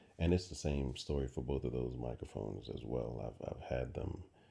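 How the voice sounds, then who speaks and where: Speaking at a moderate pace, the man has a very deep, low voice. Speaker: truck driver and hobbyist mic reviewer. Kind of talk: casual unboxing monologue. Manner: halting, many fillers and repeats.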